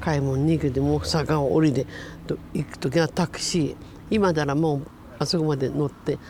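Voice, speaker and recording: A woman speaks with an Iwate accent at a moderate pace. Her pitch is very deep and low, with noticeable background noise. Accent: Iwate Tohoku dialect. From Iwate, Japan (Miyako). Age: 70s. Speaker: disaster survivor. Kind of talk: interview. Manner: halting.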